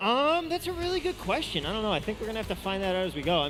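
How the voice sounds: A very fast pace over music in the background.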